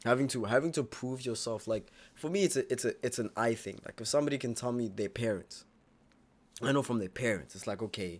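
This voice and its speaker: On a very clean recording with a silent background, a man speaks at a medium pitch in an animated tone. His pace is fairly quick and his intonation lively. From US South. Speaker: YouTube reaction streamer. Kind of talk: casual reaction commentary.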